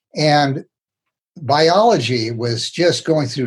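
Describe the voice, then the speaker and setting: A man speaks in a somewhat breathy voice. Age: 80s+. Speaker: retired psychiatrist. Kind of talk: interview. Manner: informal.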